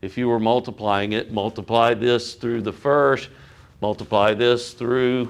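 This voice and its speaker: A man talks with medium pitch and fairly even intonation. It's a normal speaking voice. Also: fairly slow pace. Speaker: physics teacher. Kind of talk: lecture.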